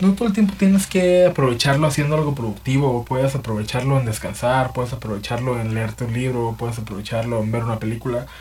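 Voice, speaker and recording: This somewhat breathy voice with a Mexican accent has ordinary pitch variation. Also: man. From Mexico. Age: 30s. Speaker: podcaster. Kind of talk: personal monologue. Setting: home. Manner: halting, many repetitions and fillers; casual.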